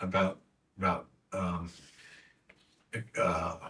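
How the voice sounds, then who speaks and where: A man's somewhat breathy voice comes through on a very clean recording against a silent background. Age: 70s. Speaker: Bible study co-host. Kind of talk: Bible study discussion. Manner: halting.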